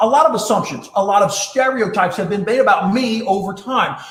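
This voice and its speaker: Loud and animated, a man talks at a fairly quick pace with audible room echo and noticeable background noise. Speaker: leadership speaker and presenter. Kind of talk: live-streamed talk with storytelling. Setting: live stream broadcast.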